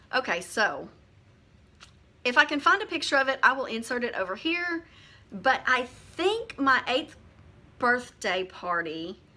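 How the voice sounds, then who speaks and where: A raised, projected voice with a Southern US accent carries a bright, sharp tone and very wide pitch swings. It moves at a fairly slow pace with long, frequent pauses. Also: woman, high pitch for a woman. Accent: pronounced Southern. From US South, Arkansas. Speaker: booktuber. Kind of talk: casual chat. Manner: hesitant, many 'um' fillers.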